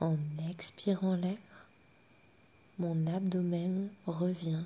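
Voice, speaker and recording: Calm and somewhat breathy, a woman speaks very slowly at a fairly low pitch in a dark, mellow tone with monotone, flat intonation. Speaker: sophrologist. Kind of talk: guided sleep relaxation. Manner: slow, calm.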